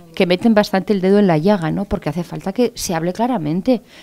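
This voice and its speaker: This woman talks at a very fast pace. Her intonation is lively. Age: 40s. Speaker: panelist at a religion forum. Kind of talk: public forum discussion.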